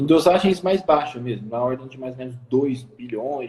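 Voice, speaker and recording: A man with a Minas Gerais accent, medium in pitch, ordinary pitch variation, over noticeable background noise. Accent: Brazilian Portuguese, mineiro. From Minas Gerais, Brazil. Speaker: nutritionist, live stream host. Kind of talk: live stream interview. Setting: Instagram live. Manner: swallows words.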